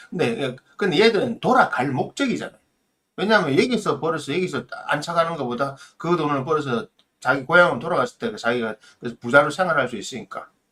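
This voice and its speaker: A man's fairly high, bright, sharp voice with very wide pitch swings at a very fast pace. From South Korea, Busan. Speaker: mentor, channel host. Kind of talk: edited live-stream talk, advice monologue. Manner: emphatic, exhortative.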